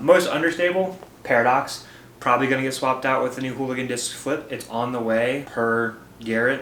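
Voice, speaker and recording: A man with a medium pitch speaks at a fairly quick pace. Audible room echo and noticeable background noise fill the recording. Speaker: disc golf player and video creator. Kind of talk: casual equipment walkthrough. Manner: fast; animated.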